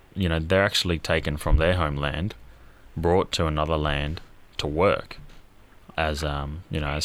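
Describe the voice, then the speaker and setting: In an Australian accent, a man speaks at a moderate pace with a very deep, low pitch and monotone, flat intonation. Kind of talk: casual interview chat.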